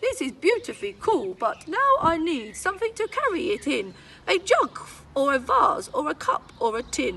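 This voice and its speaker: A woman uses a put-on character voice at an extremely high pitch, raised and projected. She keeps a moderate pace over clear background noise. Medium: read story.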